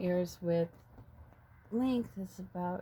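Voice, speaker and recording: A woman mumbles. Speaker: painter. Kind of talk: painting tutorial. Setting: outdoors. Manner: mumbling; halting.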